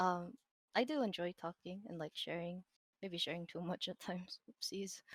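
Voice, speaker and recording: Soft-spoken and mumbling, a woman talks at a moderate pace. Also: ordinary pitch variation, dry, close sound with no echo. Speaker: digital artist and streamer. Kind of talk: casual interview chat.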